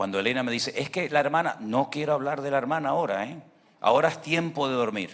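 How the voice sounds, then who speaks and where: With lively intonation, a man delivers his words in an animated tone. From Venezuela. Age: 60s. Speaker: pastor. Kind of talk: sermon.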